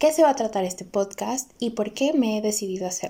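A woman speaks with a Veracruz Mexican accent. Her tone is dark and mellow. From Mexico, Córdoba, Veracruz. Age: 20s. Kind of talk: personal testimony podcast intro.

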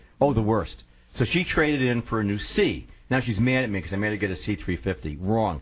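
A man speaks with an American accent at a fairly quick pace. His fairly low voice shows vocal fry. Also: lively intonation. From upstate New York, Syracuse. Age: 60s. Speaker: radio talk show host. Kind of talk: talk radio interview.

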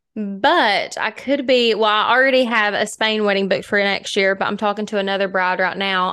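Her voice is an unremarkable speaking voice, a woman's at medium pitch with an American accent and fairly even intonation. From US small town. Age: 20s. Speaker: podcast co-host. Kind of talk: reading aloud; casual chat.

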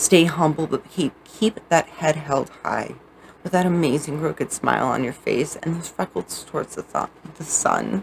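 A woman with a very deep, low voice speaks at a moderate pace with ordinary pitch variation over noticeable background noise. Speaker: audiobook author reading own book. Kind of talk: reading aloud own poetry and prose, dramatic narration. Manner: dramatic, emotive, intense, with theatrical pauses; earnest, warm, sincere.

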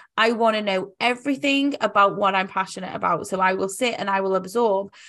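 A woman speaks with a British accent. The recording is very clean, with a silent background. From UK. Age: 30s. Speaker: life coach. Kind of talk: casual chat.

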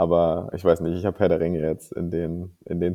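Against a quiet background, the voice has a dark, mellow tone and moves at a moderate pace. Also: man. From northern Germany, Kiel. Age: 30s. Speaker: miniature painter and tabletop player. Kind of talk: interview.

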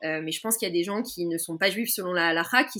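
Lively intonation marks a normal speaking voice in a very clean recording with a silent background. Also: woman. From France, Paris. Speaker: political activist. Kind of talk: interview. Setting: podcast recording.

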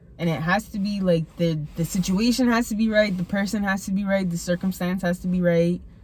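Amid noticeable background noise, a woman at a medium pitch speaks at a fairly quick pace with fairly even intonation and hardly any pauses. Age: 20s. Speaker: host's best friend. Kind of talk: casual chat.

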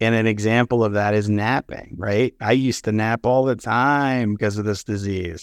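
A man with an American accent speaks in a normal speaking voice at a fairly low pitch, moderate pace and fairly even intonation, with hardly any pauses. The recording is very clean with a silent background, and the sound is dry and close with no echo. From Pittsburgh, US. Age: 40s.

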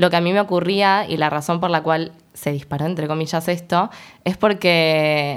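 In a very clean recording with a silent background, a woman with fairly low pitch speaks in a plain, everyday voice. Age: 20s. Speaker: education student. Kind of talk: casual chat.

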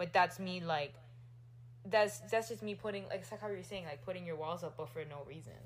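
A woman with a very deep, low pitch speaks with lively intonation and vocal fry. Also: fairly quick pace. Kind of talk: casual chat. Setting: home recording.

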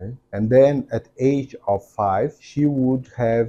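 A man speaks with a Portuguese accent. His tone is dark and mellow, and his pace is very slow. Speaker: podcast host and entrepreneur. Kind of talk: interview. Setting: office.

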